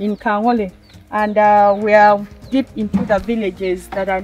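Faint music plays in the background as a woman speaks in a dry sound with no echo. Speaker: presenter. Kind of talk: presenter commentary. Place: open country.

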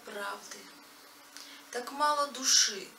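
Against light background noise and audible room echo, a woman speaks at a very slow pace with ordinary pitch variation. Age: young. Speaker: poet; poet reciting own verse. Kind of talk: reading aloud. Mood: reflective, earnest.

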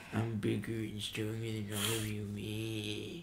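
The speaker performs a put-on character voice at a fairly slow pace. Clear background noise is present. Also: man, fairly low pitch for a man. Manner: boastful, domineering.

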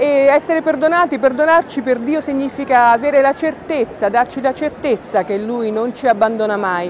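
At a moderate pace, a woman speaks in a high voice with ordinary pitch variation amid noticeable background noise. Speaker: news reporter narrating the story. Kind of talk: news report voice-over.

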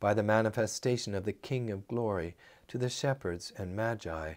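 Over a quiet background, a man speaks with lively intonation at a moderate pace. His pitch is fairly low. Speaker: priest leading evening prayer. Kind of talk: liturgical prayer service, spoken litany and intercession. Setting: church. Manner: fervent, earnest, solemn; measured, sincere, pastoral. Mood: calm, solemn. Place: office.

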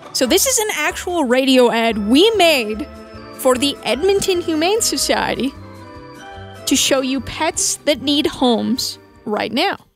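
A woman's high-pitched voice at a fairly slow pace, with very wide pitch swings, a dry sound with no echo, and faint music in the background. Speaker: radio host. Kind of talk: casual talk to camera. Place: studio. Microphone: studio mic.

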